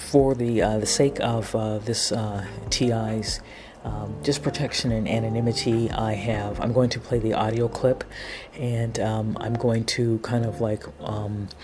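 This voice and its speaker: A man's medium-pitched voice with fairly even intonation, over noticeable background noise. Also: fairly slow pace. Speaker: video commentator. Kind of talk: monologue commentary. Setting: home apartment recording. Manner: halting, many fillers.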